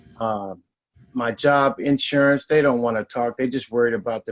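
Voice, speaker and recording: The speaker has an American accent and keeps a fairly even intonation. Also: man. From California, San Francisco. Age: 50s. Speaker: insurance customer. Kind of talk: testimony. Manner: halting, many fillers.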